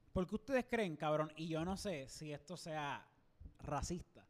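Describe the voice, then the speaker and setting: With a Puerto Rican accent, the speaker talks at a moderate pace with lively intonation. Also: man. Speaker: podcast co-host. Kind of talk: casual chat. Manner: animated.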